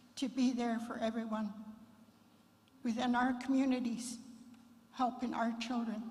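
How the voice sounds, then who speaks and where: There is audible room echo around a woman with a high voice. She talks at a fairly slow pace in a monotone, flat intonation. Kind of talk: memorial address; opening prayer and blessing. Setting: memorial service at fairgrounds.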